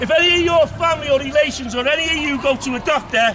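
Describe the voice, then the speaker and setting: With a Liverpool accent, a man talks in a raised, projected voice at an extremely high pitch, with ordinary pitch variation, a moderate pace and noticeable background noise. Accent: Scouse (Liverpool). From Liverpool, England. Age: 60s. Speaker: street speaker. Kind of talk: public speech. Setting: outdoors in a park with crowd. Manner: animated.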